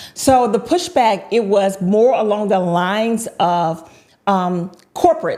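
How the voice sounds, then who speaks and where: Here a woman speaks in a Southern US accent at a fairly slow pace. Her medium-pitched voice has a dark, mellow tone, lively intonation and very even loudness. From North Carolina (High Point). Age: 50s. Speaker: entrepreneur. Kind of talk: interview.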